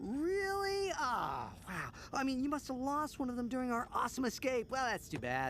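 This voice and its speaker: Over clear background noise, a cartoonish character voice moves at a moderate pace. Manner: energetic, cocky.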